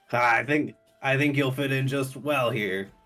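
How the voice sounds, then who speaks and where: A man does a put-on character voice at a medium pitch and a moderate pace, with fairly even intonation and faint music in the background. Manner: chuckling.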